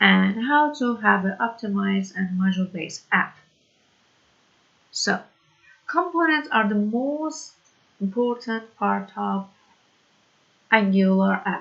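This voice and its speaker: A woman with a non-native accent talks at a very slow pace, leaving long, frequent pauses. Her medium pitch carries lively intonation. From Iran. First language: Persian. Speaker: programming tutor. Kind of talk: tutorial. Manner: halting, many fillers.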